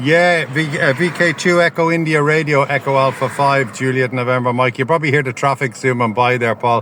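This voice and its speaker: A man with a fairly high pitch talks at a moderate pace with fairly even intonation over noticeable background noise. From Ireland. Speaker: ham radio operator. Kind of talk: radio contact. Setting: outdoors portable station by a road.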